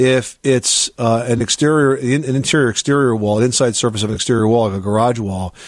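A man talks at medium pitch with ordinary pitch variation in a plain, everyday voice. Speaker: radio home improvement host. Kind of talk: call-in radio show.

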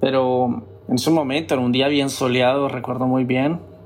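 A man speaks at a moderate pace and a medium pitch. Noticeable background noise runs underneath. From Colombia, Cúcuta (Venezuelan border). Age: 30s. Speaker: traveler sharing personal story. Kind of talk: personal testimony.

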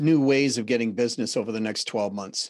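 A man with a Boston accent against a quiet background. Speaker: sales and business consultant. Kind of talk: interview.

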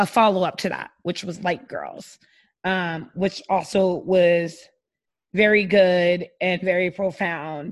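A loud woman at a medium pitch, very slow pace and fairly even intonation, against a quiet background. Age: 30s. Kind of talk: casual chat.

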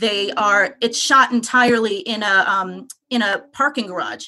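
A woman with a New York accent speaks at a fairly high pitch, her intonation showing ordinary pitch variation. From Long Island, New York. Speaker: caller. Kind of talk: casual chat.

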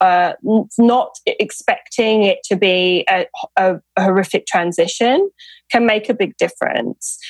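A woman speaks with a British accent at a fairly high pitch. The recording is very clean, with a silent background and a dry, close sound with no echo. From UK. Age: 30s. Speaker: author and fertility awareness educator. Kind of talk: interview.

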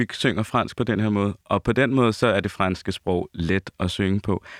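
At a moderate pace, a man speaks with a fairly low pitch. The recording is very clean with a silent background, and the sound is dry and close with no echo. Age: 30s. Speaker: opera singer. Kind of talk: casual chat.

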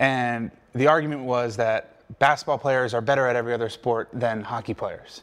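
A man with an American accent uses an ordinary speaking voice at a medium pitch, keeping his intonation fairly even and his pace fairly quick. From US Mid-Atlantic, Wilmington, Delaware. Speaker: pro football player. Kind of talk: casual interview chat.

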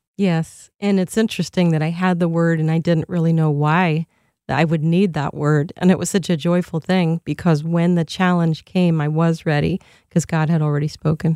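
In a very clean, dry, close recording with no echo and a silent background, a woman speaks in a fairly low pitch with a dark, mellow tone. Her loudness stays very even, her intonation monotone and flat, her pace moderate. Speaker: violinist and speaker. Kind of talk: interview conversation. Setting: studio. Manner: gentle.

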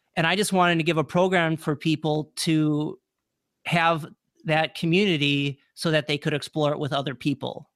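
A man with an unremarkable speaking voice, fairly high in pitch, talks at a moderate pace with fairly even intonation in a dry, close sound with no echo. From Wisconsin. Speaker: transformational speaker and podcast host. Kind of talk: interview, personal story.

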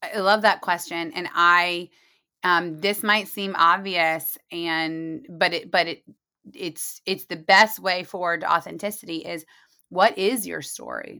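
A woman's bright, sharp, fairly low voice with an American accent, fairly even intonation, a fairly slow pace and big swings in loudness, in a very clean recording against a silent background. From US Midwest (Muncie, Indiana). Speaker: marketing executive. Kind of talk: interview. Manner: laid back.

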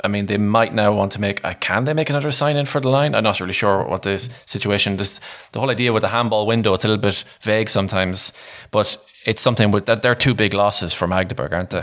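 On a very clean recording with a silent background, a man with a fairly low pitch speaks at a very fast pace with ordinary pitch variation. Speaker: podcast host. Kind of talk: casual banter. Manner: joking, chatty.

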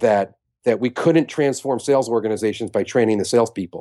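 A man with an American accent talks at a fairly quick pace in a medium pitch, his tone dark and mellow with ordinary pitch variation, recorded dry and close with no echo against a quiet background. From New York. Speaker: sales consultant and author. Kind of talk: interview. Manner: blunt.

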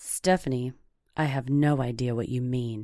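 In a put-on character voice, the speaker uses a low-to-middle pitch, a calm tone and a moderate pace. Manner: calm, flat, detached.

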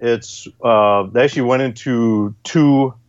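This is an unremarkable speaking voice whose pitch varies in an ordinary way. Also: man. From Wisconsin. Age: 40s. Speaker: gun magazine editor. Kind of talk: casual chat.

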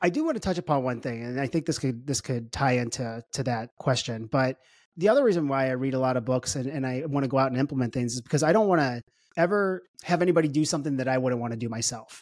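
The speaker talks at a very fast pace with an American accent and ordinary pitch variation. The recording is very clean, with a silent background. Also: man, medium pitch for a man. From US Midwest, St. Louis, Missouri. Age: 40s. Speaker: entrepreneur, wealth tech CEO. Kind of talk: casual interview chat.

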